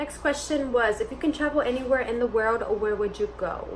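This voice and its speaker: Noticeable background noise fills the clip. Through it a woman talks in an animated tone. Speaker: lifestyle vlogger. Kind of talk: casual Q&A vlog. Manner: loud.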